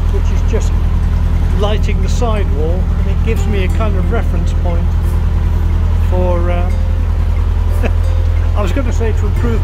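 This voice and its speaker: Over music in the background, a man talks at a moderate pace, leaving long, frequent pauses. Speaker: boater vlogger. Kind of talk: casual vlog chat. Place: boat. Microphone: phone near.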